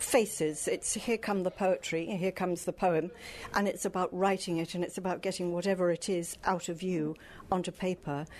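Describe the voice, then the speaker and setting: A woman speaks at a fairly quick pace with a medium pitch and an unremarkable speaking voice. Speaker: book club host. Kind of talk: interview. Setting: live event at a library.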